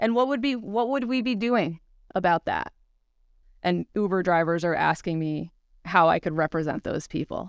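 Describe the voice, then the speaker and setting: In an unremarkable speaking voice, a woman talks at a moderate pace with lively intonation and a fairly low pitch, the sound dry and close with no echo in a very clean recording with a silent background. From upstate New York. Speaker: civil rights attorney. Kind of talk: casual chat.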